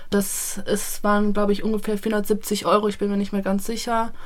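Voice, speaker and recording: A woman speaks at a moderate pace and medium pitch, with audible echo from the room. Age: 20s. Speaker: former volunteer, student. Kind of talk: interview. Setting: studio by a rainy window.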